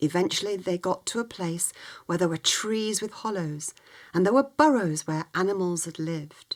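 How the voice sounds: With ordinary pitch variation, this is a natural reading voice.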